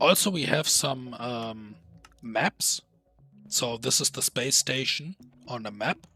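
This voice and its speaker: A man with a medium pitch speaks at a very slow pace, with long, frequent pauses and ordinary pitch variation. The sound is dry and close with no echo, with music in the background. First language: not English. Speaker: gaming YouTuber. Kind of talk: gameplay commentary. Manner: casual with frequent fillers.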